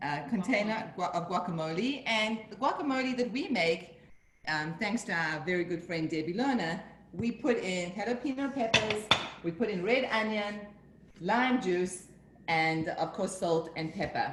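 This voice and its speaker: With audible room echo and noticeable background noise, a woman speaks at medium pitch and a moderate pace, her intonation lively. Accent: American. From Northern New Jersey. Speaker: home cook. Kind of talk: tutorial.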